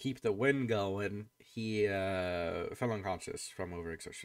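A man speaks in a bright, sharp tone. The background is quiet. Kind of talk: tabletop roleplay session. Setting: voice call with players. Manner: casual, halting. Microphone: video call.

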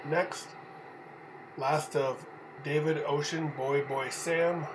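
Speaking at a very slow pace, the man has a fairly high pitch, with noticeable background noise behind him. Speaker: 911 dispatch trainer. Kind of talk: dictation of names and dates using phonetic alphabet, radio dispatch style. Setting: recorded tutorial for typing practice. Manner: even, clipped, steady reading pace.

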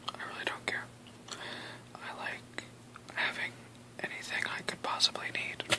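The speaker is soft-spoken, whispering at a moderate pace. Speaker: vlogger. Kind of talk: casual vlog chat. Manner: soft whispered show-and-tell. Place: home room. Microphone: webcam.

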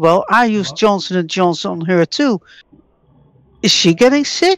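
At a moderate pace, a woman speaks at a medium pitch in a plain, everyday voice. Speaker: scambaiter. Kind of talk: prank phone call with a scammer. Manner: confrontational.

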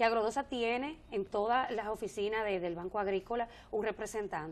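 This woman's speech moves along at a moderate pace. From Dominican Republic, northwest (Montecristi); Dominican Republic. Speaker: government agency director; guest. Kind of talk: TV interview. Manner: halting, many repetitions and fillers. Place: studio. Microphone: lapel.

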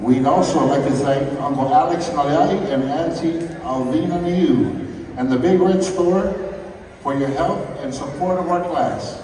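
At a fairly slow pace, a man speaks with ordinary pitch variation, with audible room echo and light background noise. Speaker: student announcer at songfest. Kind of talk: event announcement. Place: hall.

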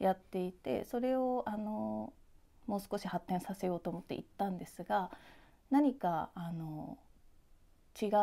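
At a fairly slow pace, a woman with a medium-pitched, dark, mellow voice speaks with lively intonation and long, frequent pauses. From Japan, Yokohama; Japan. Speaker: visual artist; interviewee. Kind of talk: interview; interview answer. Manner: halting, many fillers. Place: workshop.

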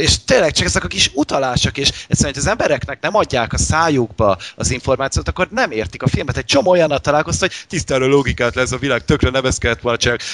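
The speech races at a very fast pace with hardly any pauses and lively intonation. Noticeable background noise sits underneath. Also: man, fairly high pitch for a man. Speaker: podcast host. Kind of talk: casual chat.

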